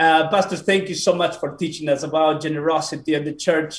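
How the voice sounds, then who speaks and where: A man speaks with a Spanish accent at a high pitch. His intonation stays fairly even. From Peru. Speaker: pastor. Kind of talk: casual interview. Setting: video call. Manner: halting.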